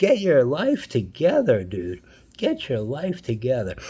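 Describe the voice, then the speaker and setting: A man with a dark, mellow, somewhat breathy tone speaks at a fairly slow pace, his pitch rising and falling very widely. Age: 60s. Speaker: YouTuber. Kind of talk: response video rant. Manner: repetitive, stammering.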